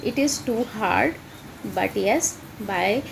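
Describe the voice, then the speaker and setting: A woman's fairly high voice with an Indian accent and lively intonation, very slow in pace, over noticeable background noise. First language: Hindi. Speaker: English teacher. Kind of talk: tutorial. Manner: halting, many fillers.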